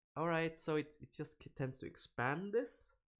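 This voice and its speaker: On a very clean recording with a silent background, a man with a Swedish accent talks with ordinary pitch variation. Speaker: programming live streamer. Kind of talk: live coding stream. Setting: live stream. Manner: animated; hesitant, many fillers.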